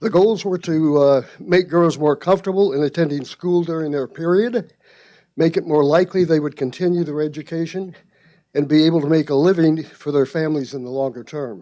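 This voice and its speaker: A man with a fairly high pitch and a dark, mellow tone talks at a fairly quick pace. His pitch varies in an ordinary way over a quiet background. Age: 80s+. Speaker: rotary club member reporting on a project. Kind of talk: club meeting report.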